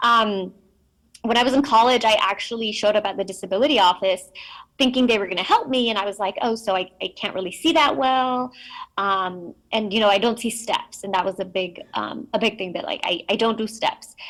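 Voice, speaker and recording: A woman with a Spanish accent, a fairly high pitch, ordinary pitch variation and a fairly quick pace. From Mexico, raised in US from age five. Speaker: keynote speaker, blindness advocate. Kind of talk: keynote speech. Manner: frequent 'um' fillers, conversational.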